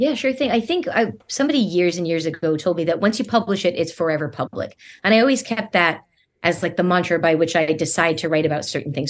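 Her pitch is medium and her intonation lively as this woman talks at a very fast pace. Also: quiet background. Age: 40s. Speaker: diabetes writer and speaker. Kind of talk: casual interview. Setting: video call.

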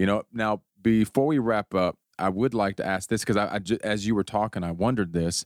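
Fairly low in pitch, a man has an unremarkable speaking voice with ordinary pitch variation at a fairly quick pace. The recording is very clean, dry and close, with no echo and a silent background. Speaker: podcast host. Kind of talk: casual interview chat.

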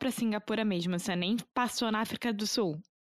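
This woman's voice sits fairly high in pitch with ordinary pitch variation. She talks at a moderate pace. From Rio de Janeiro, Brazil. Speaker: podcast host, language teacher. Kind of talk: casual interview chat.

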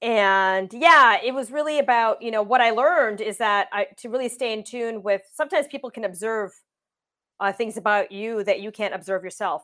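A woman with an ordinary speaking voice talks at a moderate pace, fairly high in pitch and with ordinary pitch variation. The recording is very clean, with a silent background. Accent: Canadian. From Windsor, Ontario, Canada. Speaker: tech company co-founder and CTO. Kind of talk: interview.

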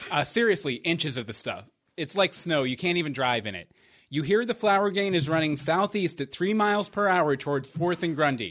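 A man with a plain, everyday voice, fairly high and fairly quick, with lively intonation over a quiet background. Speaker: podcast host. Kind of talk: casual chat.

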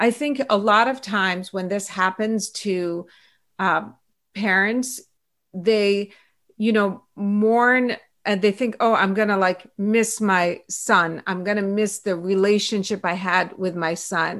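In a very clean recording with a silent background, a woman speaks very slowly with fairly even intonation. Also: medium pitch for a woman. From Iran and Pittsburgh, US. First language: Farsi. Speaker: author, pediatrician and activist. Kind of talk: interview conversation.

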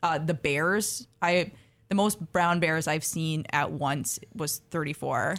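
Very slowly, a woman speaks at a very deep, low pitch with ordinary pitch variation. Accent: American. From Minnesota, US Midwest. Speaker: wildlife ecology graduate student. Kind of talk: radio interview. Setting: radio studio.

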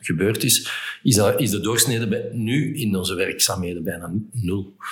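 A man at a fairly low pitch and a moderate pace, with ordinary pitch variation. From Flemish Brabant, Belgium. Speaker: entrepreneur, event organizer. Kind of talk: interview. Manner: halting.

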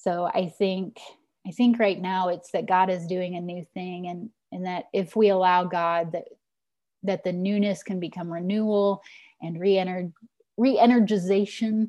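Over a quiet background, a woman with an American accent speaks at a moderate pace in a dark, mellow tone of medium pitch, her intonation fairly even but her loudness swinging widely. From Missouri, rural Ozarks. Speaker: pastor. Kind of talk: interview.

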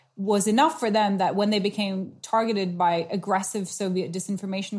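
Fairly even intonation in a woman's somewhat breathy voice. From South Asia (Nepal). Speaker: author and consultant on technology and politics. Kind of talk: interview.

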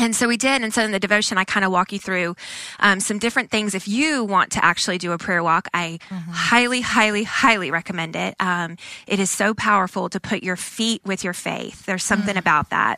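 Her tone is bright and sharp at a medium pitch. She goes at a fairly quick pace with ordinary pitch variation, in a dry, close sound with no echo. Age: 30s. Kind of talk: Bible teaching in a casual podcast chat.

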